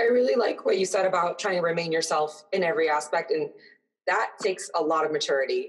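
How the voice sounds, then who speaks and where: At a fairly quick pace, a woman speaks in an ordinary speaking voice that sits fairly low in pitch. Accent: American. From United States, Sudanese family. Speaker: podcast co-host. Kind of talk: casual chat.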